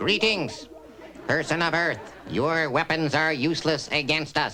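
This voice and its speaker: Over clear background noise, a man does a cartoonish character voice at a fairly high pitch and a fairly slow pace. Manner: formal, monotone.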